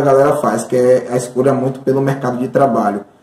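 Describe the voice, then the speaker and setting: A man's voice at medium pitch. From Bahia, Brazil (Santo Amaro). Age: 20s. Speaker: mathematics teacher. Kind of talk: interview testimony. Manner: halting, many fillers.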